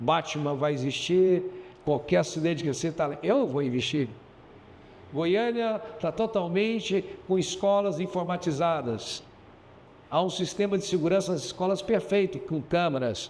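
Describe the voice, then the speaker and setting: A man talks at a high pitch and a fairly slow pace. Long, frequent pauses break up his speech. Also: ordinary pitch variation. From Goiás, central Brazil. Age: 60s. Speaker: businessman and mayoral candidate. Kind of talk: interview.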